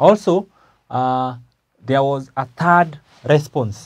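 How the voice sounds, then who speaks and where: Somewhat breathy air runs through this man's voice. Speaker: teacher. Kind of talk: lecture. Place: classroom.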